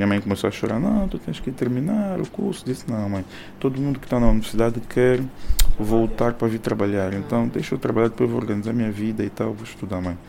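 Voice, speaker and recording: Very fast speech from a man at medium pitch, ordinary in its pitch variation, over noticeable background noise. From Angola, Soyo. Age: 30s. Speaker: music producer and bank employee. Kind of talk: interview. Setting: at his home. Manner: halting, repeats words.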